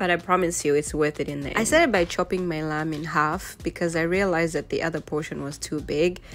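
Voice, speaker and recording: Music plays in the background as a woman talks in a fairly low pitch with fairly even intonation. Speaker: family vlogger. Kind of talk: voiceover narration of cooking video.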